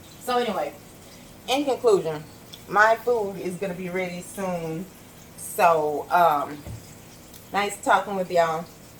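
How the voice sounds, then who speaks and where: A woman speaks at a medium pitch with ordinary pitch variation, at a fairly slow pace with long, frequent pauses. Noticeable background noise can be heard. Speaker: vlogger. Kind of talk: casual monologue while cooking. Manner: loud; talkative.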